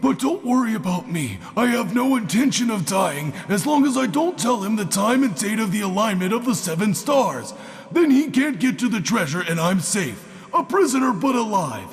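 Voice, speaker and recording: A man does a cartoonish character voice, high-pitched with very wide pitch swings. He keeps a moderate pace over light background noise. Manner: theatrical, sardonic.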